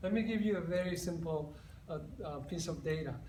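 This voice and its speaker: A man's high-pitched voice at a moderate pace, with audible room echo and noticeable background noise. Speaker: psychologist. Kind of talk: conference presentation. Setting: conference stage with audience.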